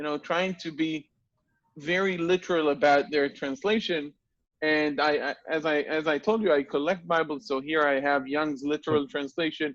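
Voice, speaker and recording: A man in an Israeli accent speaks at a moderate pace with a fairly high pitch. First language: Hebrew. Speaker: Hebrew teacher and interviewer. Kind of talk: interview.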